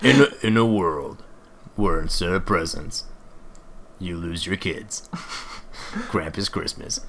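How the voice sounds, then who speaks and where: Using a put-on character voice with a very deep, low pitch, a man speaks at a fairly slow pace with long, frequent pauses over clear background noise. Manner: dramatic, grandiose.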